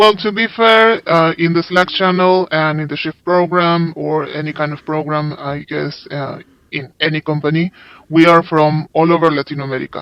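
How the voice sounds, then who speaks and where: Fairly high male speech in a Spanish accent, with fairly even intonation at a moderate pace. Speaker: overseas interpreter. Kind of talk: interview.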